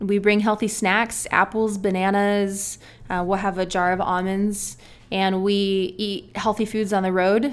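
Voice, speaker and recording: Spoken with an American accent, the voice runs at a fairly slow pace in a flat monotone. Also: woman, medium pitch for a woman. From California, San Diego. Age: 30s. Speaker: obstacle course athlete. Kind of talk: interview.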